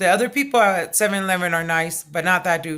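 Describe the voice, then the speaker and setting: Loud and animated, a woman speaks at a medium pitch with a bright, sharp tone and ordinary pitch variation. The recording is very clean, with a silent background. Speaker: vlogger. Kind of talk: casual vlog storytelling.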